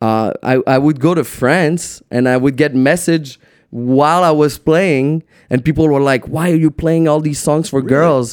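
A man with a French accent speaks at a fairly high pitch with fairly even intonation and very even loudness, on a very clean recording with a silent background. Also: moderate pace. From Quebec City. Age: 20s. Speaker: DJ and producer. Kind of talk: casual chat. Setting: studio.

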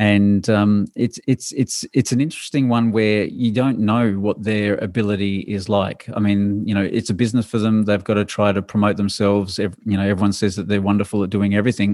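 A man with an Australian accent, fairly low pitch, flat monotone delivery, very even loudness and hardly any pauses, on a very clean recording with a silent background. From Adelaide, South Australia. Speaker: university sleep researcher, professor. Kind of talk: interview, explaining research.

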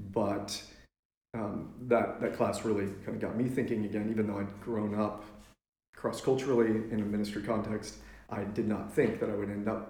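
In an American accent, a man with a fairly low, somewhat breathy voice speaks at a moderate pace with monotone, flat intonation. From Kenya and Lubbock, Texas. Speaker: missionary. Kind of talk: casual interview. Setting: at a dining room table.

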